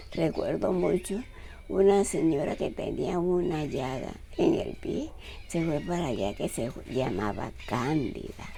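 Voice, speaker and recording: A woman talks very slowly, and audible room echo follows her words. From Colombia, Simití, Bolívar (Caribbean region). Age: 80s+. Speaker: retired nurse. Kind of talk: oral history interview.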